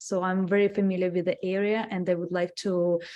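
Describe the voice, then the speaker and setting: A flat, monotone delivery in a dark, mellow tone with a Russian accent. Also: woman. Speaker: city commissioner. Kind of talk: self-introduction at public meeting. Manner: halting, many fillers.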